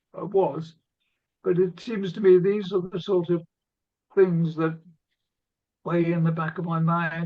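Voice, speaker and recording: In an English accent, a man speaks at a high pitch. His intonation is monotone and flat. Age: 80s. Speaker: documentary filmmaker and author. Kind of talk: talk to a discussion group. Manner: halting.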